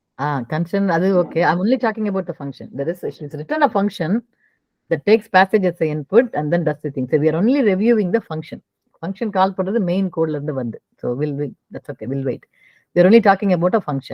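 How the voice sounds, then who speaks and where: In an ordinary speaking voice, a woman talks at a fairly low pitch with lively intonation and big swings in loudness. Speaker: programming teacher. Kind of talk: online coding class review.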